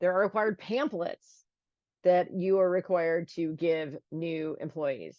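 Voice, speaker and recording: At a moderate pace, a woman talks in an unremarkable speaking voice, her fairly low pitch showing ordinary variation. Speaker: attorney. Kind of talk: webinar presentation. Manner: frequent filler words.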